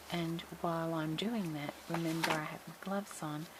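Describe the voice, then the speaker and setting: A woman speaks quietly in a very deep, low pitch at a moderate pace. Noticeable background noise is present. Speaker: crafting tutorial host. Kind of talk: tutorial. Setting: at home. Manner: quiet, low voice.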